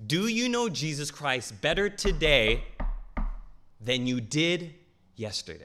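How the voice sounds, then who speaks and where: On a very clean recording with a silent background, a man speaks in a bright, sharp tone. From Southern California. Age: 20s. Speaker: preacher. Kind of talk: sermon. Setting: church.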